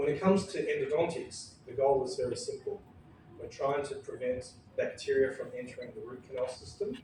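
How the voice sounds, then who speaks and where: Fairly quick speech from a man, set against noticeable background noise and audible room echo. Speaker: endodontist presenting at a dental conference. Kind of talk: conference presentation.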